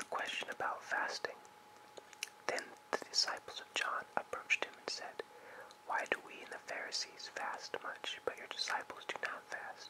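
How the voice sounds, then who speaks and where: A whisper moves along at a moderate pace. Behind it, background noise is noticeable. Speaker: ASMR artist. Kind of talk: scripture reading. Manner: whispered.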